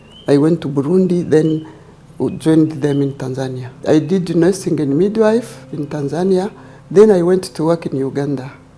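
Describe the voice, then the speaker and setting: A woman's very deep, low voice at a moderate pace amid noticeable background noise. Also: ordinary pitch variation. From Rwanda, Eastern Province. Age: 70s. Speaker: retired nurse and trauma healer. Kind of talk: interview testimony.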